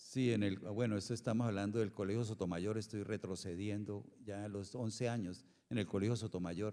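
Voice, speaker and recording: The voice has a dark, mellow tone and fairly even intonation, running on with hardly any pauses. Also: man, fairly low pitch for a man, moderate pace. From Colombia, Bucaramanga (Santander). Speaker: cultural manager. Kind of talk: interview.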